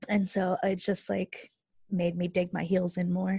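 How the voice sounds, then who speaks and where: A somewhat breathy woman with an American accent at a fairly slow pace, in a dry, close sound with no echo on a very clean recording with a silent background. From rural Texas. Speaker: former university student. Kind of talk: interview.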